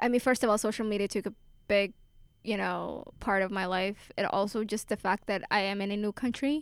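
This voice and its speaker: Recorded very cleanly against a silent background, a woman with an unremarkable speaking voice talks fairly quickly at medium pitch with fairly even intonation. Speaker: college student. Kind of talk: casual chat.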